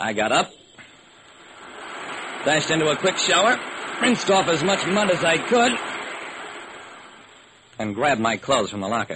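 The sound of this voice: In a put-on character voice with a husky, rough edge and a bright, sharp tone, the speaker makes big pitch swings and takes long, frequent pauses. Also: man, fairly high pitch for a man, fairly slow pace.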